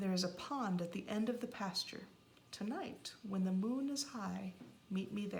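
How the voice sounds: Pitch varies in an ordinary way across this natural reading voice.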